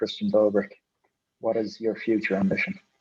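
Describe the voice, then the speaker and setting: A man's voice with a dark, mellow tone and ordinary pitch variation. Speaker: podcast host. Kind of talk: interview.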